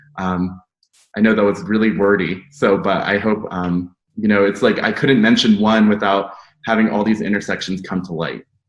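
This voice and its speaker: A man's unremarkable speaking voice, fairly low in pitch, with an American accent, a moderate pace and fairly even intonation. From United States. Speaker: academic panelist. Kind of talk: panel discussion.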